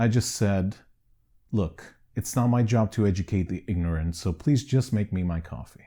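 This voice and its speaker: Here is a man with a Canadian accent. His tone is dark and mellow. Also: fairly low pitch for a man, ordinary pitch variation, moderate pace. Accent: Canadian-sounding English. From Greece. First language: Greek. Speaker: documentary filmmaker. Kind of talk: personal testimony.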